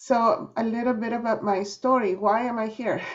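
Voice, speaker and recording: Her pitch varies in an ordinary way. The woman speaks in a Spanish accent. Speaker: nonprofit executive director. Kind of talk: panel introduction.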